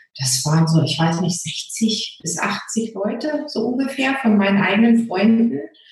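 A woman with a fairly high pitch speaks at a fairly slow pace with hardly any pauses and very wide pitch swings, amid audible room echo and noticeable background noise. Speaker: Facebook group founder. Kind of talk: interview.

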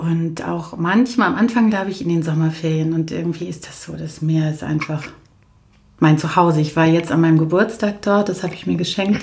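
This woman's somewhat breathy, fairly low voice has ordinary pitch variation and big swings in loudness. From Germany. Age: 40s. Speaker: coach and social worker. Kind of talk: casual chat. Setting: in a living room. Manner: moderate pace, neither hectic nor slow.

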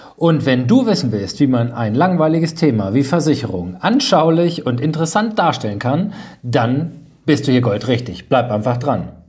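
Animated man's voice, fairly high in pitch with very wide swings, over noticeable background noise and audible room echo. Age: 30s. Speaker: insurance agent and podcast host. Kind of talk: podcast monologue.

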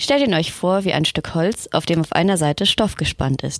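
A woman's ordinary speaking voice, fairly low-pitched with lively intonation, at a moderate pace, in a dry, close sound with no echo. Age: 20s. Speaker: library assistant. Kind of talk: scripted narration.

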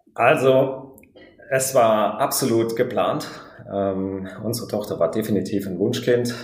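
There is audible room echo and noticeable background noise as a man speaks. His pitch is medium, his intonation fairly even, and his pace very slow. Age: 30s. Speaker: pilot and new father. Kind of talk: interview, personal birth story. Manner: halting, many fillers.

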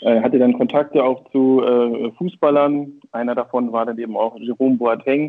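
A man at a medium pitch and moderate pace, a normal speaking voice with fairly even intonation. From northern Germany, Schleswig-Holstein. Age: 40s. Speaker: football coach and marketing consultant. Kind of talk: casual interview.

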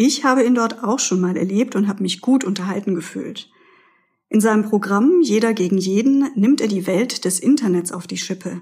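The woman's somewhat breathy voice sits at a medium pitch, showing ordinary pitch variation at a moderate pace. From Pforzheim, Germany. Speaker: co-host, author of local books. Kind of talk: scripted event listings.

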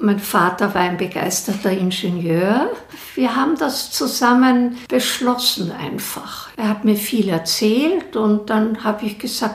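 Speaking very slowly, a woman with a fairly high pitch is heard amid noticeable background noise and audible room echo. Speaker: professor. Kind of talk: interview.

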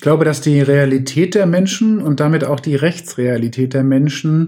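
A man speaks at a fairly high pitch. It is a normal speaking voice. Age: 40s. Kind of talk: expert interview.

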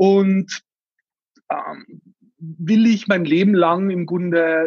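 A man talks at a high pitch. The sound is dry and close, with no echo. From Austria, Tyrol. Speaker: startup founder. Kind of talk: interview.

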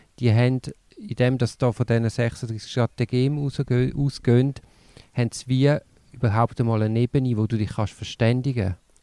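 A man at a moderate pace and medium pitch, dark and mellow in tone with fairly even intonation, in a very clean, dry, close recording with a silent background and no echo. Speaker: podcast co-host. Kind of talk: casual chat.

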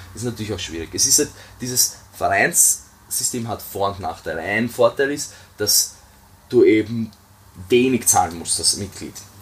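Long pauses come often in this moderate-paced speech, and the loudness swings widely. Pitch varies in an ordinary way over noticeable background noise. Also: man, medium pitch for a man. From Austria. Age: 20s. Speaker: weightlifting coach. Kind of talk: podcast interview.

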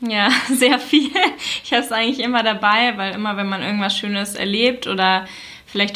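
Over noticeable background noise, a woman talks at a fairly quick pace and medium pitch with fairly even intonation. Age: 20s. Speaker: influencer. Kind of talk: interview.

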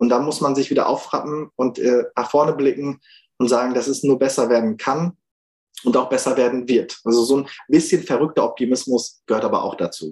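Fairly quick and fairly even in intonation, a man talks at a medium pitch in an ordinary speaking voice. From Germany, Münsterland. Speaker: activist. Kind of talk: interview. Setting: video call.

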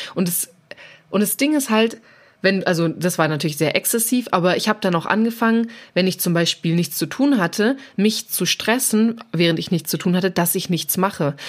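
A woman with a normal speaking voice and a medium pitch talks at a moderate pace with lively intonation in a very clean recording with a silent background. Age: 20s. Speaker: self-employed fitness trainer, former baking blogger. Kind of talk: casual interview chat.

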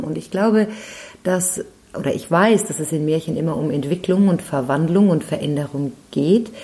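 A woman talks at a moderate pace with fairly low pitch and ordinary pitch variation. Noticeable background noise is present. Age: 50s. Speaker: professional storyteller and trainer. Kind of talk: interview.

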